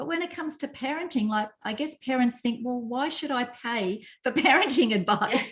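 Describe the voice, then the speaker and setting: At a moderate pace, a woman with an Australian accent speaks at a high pitch with lively intonation. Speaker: parenting coach. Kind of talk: casual chat. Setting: live video stream.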